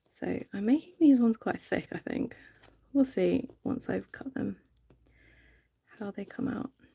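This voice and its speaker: A woman with a British accent talks at a fairly slow pace, the sound dry and close with no echo. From UK. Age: 30s. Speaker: reborn doll artist, live streamer. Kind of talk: casual live stream chat while working. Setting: live stream. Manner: relaxed, many filler ums.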